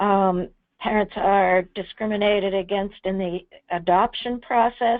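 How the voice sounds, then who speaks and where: A woman speaks at a fairly slow pace in an ordinary speaking voice, her medium pitch carried by fairly even intonation. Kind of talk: webinar presentation.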